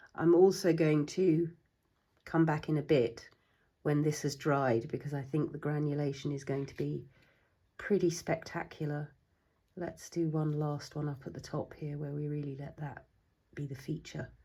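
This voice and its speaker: Somewhat breathy and dark, mellow in tone, a woman with a very deep, low pitch speaks at a moderate pace with fairly even intonation. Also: big swings in loudness. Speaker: watercolour artist. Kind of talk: casual talk to camera.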